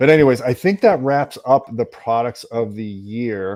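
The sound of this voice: At a moderate pace, a man with a medium pitch and a slightly mellow tone speaks with ordinary pitch variation.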